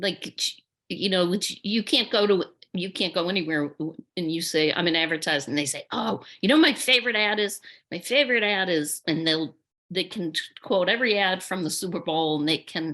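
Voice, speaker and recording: The voice has a bright, sharp tone. Its pitch variation is ordinary. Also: woman, medium pitch for a woman, fairly quick pace. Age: 60s. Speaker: advertising executive. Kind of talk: panel discussion.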